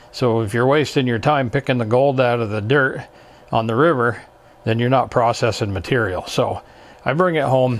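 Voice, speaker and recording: This man has a plain, everyday voice at a medium pitch with ordinary variation. He talks at a moderate pace. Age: 60s. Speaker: hobbyist YouTuber learning CAD. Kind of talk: casual tutorial vlog. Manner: casual, conversational with fillers.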